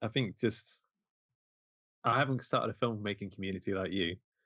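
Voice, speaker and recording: A fairly low-pitched man with an East Midlands accent, fairly quick in pace, with ordinary pitch variation. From Mansfield, English East Midlands. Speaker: independent filmmaker. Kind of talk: casual interview chat.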